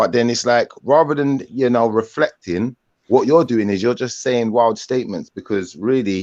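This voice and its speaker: A man at a medium pitch in a London accent, with a moderate pace and ordinary pitch variation. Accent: London multicultural English. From Jamaican heritage, England. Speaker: livestream host. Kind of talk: live online panel chat. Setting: livestream video call.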